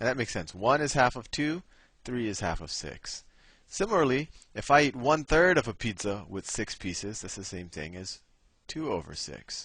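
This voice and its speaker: Against a quiet background, a man talks at a medium pitch and a moderate pace with vocal fry. His pitch swings very widely, and his loudness rises and falls in big swings. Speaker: math tutor. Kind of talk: tutorial. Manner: halting, many false starts.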